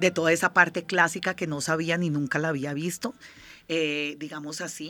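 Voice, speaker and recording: A woman talks at a fairly slow pace with fairly even intonation. Her fairly low voice has a bright, sharp tone. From Colombia, Pacific region (Nariño), raised in Bogotá. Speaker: dance company director, former ballerina. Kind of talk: interview.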